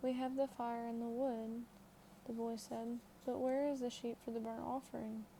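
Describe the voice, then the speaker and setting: A soft-spoken woman talks at a fairly quick pace. Her pitch sits fairly high. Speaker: ASMR content creator. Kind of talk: ASMR Bible reading. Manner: soft-spoken, quiet.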